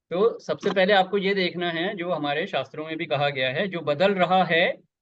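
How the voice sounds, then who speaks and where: Pitched high, a man's voice keeps fairly even intonation. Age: 60s. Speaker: spiritual teacher. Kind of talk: spiritual satsang discussion. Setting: video call.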